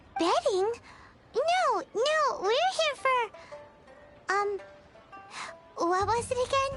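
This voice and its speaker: A put-on character voice at an extremely high pitch speaks very slowly, with long, frequent pauses and clear music in the background. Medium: video game. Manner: excitable.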